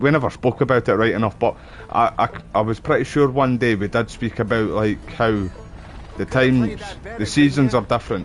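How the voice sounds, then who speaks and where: With a strong Scottish accent, a man of medium pitch speaks at a fairly quick pace and fairly even intonation over noticeable background noise. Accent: thick Scottish. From Scotland. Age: 30s. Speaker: gaming streamer. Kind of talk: casual chat. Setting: live stream.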